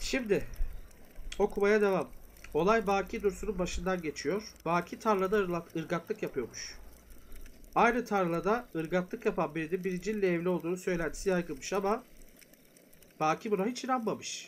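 This man's high voice moves at a moderate pace with ordinary pitch variation and long, frequent pauses. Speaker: folklore storyteller streamer. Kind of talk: live stream reading and commentary. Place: home room.

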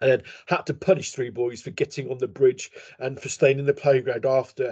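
A man puts on a hoarse character voice at a medium pitch. He talks at a fairly quick pace with fairly even intonation.

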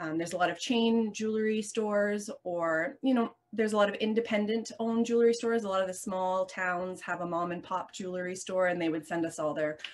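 A woman talks at a fairly quick pace with hardly any pauses. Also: ordinary pitch variation. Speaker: podcast guest. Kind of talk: interview answer. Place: workshop. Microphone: video call.

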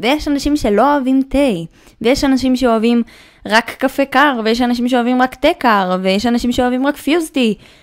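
A woman speaks at a high pitch with very even loudness. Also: fairly even intonation, moderate pace. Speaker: YouTuber and podcaster. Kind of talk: casual monologue.

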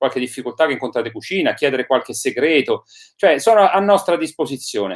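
Talking at a very fast pace with lively intonation, a man is heard against a quiet background. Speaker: online show host. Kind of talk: interview host introduction. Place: home room. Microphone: webcam.

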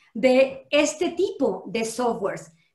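With audible room echo but a quiet background, a woman speaks in a high pitch with lively intonation. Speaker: law professor. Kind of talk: panel discussion. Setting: video call. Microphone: video call.

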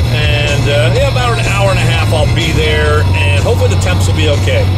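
Over loud music in the background, a man speaks at a moderate pace. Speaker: reptile hunting vlogger. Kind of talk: casual vlog chat. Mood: cheerful, upbeat. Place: car. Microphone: phone near.

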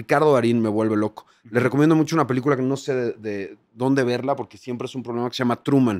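A man at medium pitch talks very fast with hardly any pauses and fairly even intonation over a quiet background. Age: 40s. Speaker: TV presenter. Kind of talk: casual chat. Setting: hotel. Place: hall. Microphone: studio mic.

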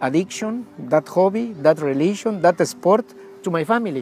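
With faint music in the background, a man talks at a moderate pace in a high pitch with ordinary pitch variation, in a dry sound with no echo. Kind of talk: interview answer. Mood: reflective, emotional story. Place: garden. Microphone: lapel.

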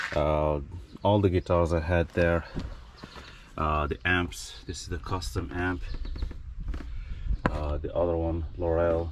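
A man's very deep, low voice at a fairly slow pace and fairly even intonation, dry with no echo, amid noticeable background noise. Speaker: storage unit reseller vlogger. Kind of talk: casual vlog chat. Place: street. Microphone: phone near.

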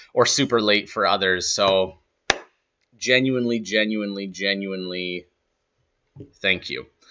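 Noticeable background noise runs behind a man with a fairly low pitch and a bright, sharp tone. He talks at a fairly slow pace with fairly even intonation. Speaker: trading streamer. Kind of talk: casual live stream chat. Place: office.

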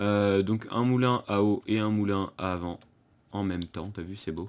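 This man talks with a fairly low pitch and fairly even intonation. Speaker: gaming youtuber. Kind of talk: let's play commentary. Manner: halting, many fillers and repetitions. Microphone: new setup, improved sound quality.

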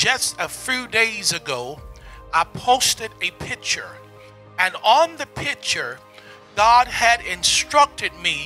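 The speech is very slow, with lively intonation and long, frequent pauses. Faint music plays in the background. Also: man. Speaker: prophet, preacher. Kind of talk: prophetic word, sermon-style address to camera. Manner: emphatic, rhetorical, repeating phrases. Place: studio. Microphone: handheld.

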